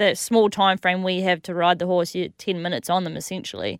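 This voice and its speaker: In an Australian accent, the speaker moves at a fairly quick pace with monotone, flat intonation on a very clean recording with a silent background. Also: woman, dry, close sound with no echo. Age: 30s. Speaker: jockey and radio co-host. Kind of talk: casual chat.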